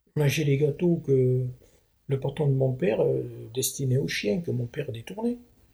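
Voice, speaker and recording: Somewhat breathy, a man speaks at a moderate pace and fairly high pitch in a dark, mellow tone, with ordinary pitch variation and long, frequent pauses. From southwest France. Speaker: retired manual worker. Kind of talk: interview, life story. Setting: at home.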